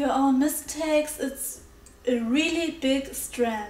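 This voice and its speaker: A woman talks at a very slow pace and a high pitch. Noticeable background noise sits behind her. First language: not English. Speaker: digital artist. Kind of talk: voiceover art talk over speedpaint.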